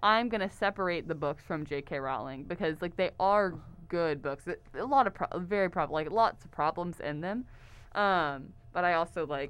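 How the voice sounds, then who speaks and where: Talking at a fairly quick pace against a quiet background, a woman with an American accent has an unremarkable speaking voice, a fairly low pitch and lively intonation. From Texas, Houston area. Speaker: theater lighting design student. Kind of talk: casual chat. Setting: studio.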